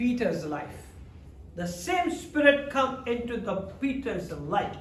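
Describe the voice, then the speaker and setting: His voice is extremely high-pitched and swings very widely in pitch. The man speaks fairly slowly over noticeable background noise. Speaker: pastor. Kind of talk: sermon, bilingual English and Hindi/Urdu preaching.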